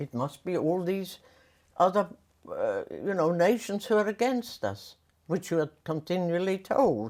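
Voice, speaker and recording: A woman at a medium pitch talks at a fairly slow pace with lively intonation and vocal fry, on a very clean recording with a silent background. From Austria. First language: German. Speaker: war survivor. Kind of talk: interview answer. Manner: reflective, hesitant.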